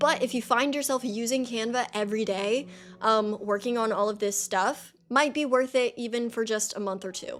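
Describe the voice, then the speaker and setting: Woman's voice of fairly high pitch at a moderate pace, fairly even in intonation, with music in the background. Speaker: streaming tutorial creator. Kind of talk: tutorial. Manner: casual, many fillers.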